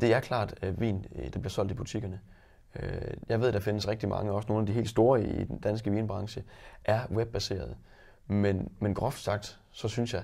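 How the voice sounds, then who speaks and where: Somewhat breathy and fairly low in pitch, a man speaks at a moderate pace with fairly even intonation. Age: 20s. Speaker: wine shop owner and entrepreneur. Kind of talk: interview.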